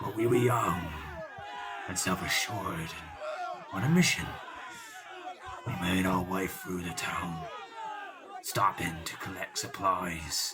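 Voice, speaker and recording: Someone shouts in a put-on character voice at a fairly slow pace, with long, frequent pauses and clear background noise. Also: man. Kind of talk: audio drama performance. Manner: rambling, reminiscing.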